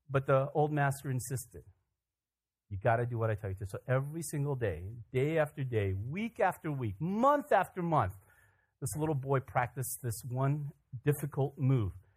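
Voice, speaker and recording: Lively intonation from a somewhat breathy man, on a very clean recording with a silent background. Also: medium pitch for a man, moderate pace. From Korea, raised in US from childhood. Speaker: pastor. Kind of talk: sermon. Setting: church.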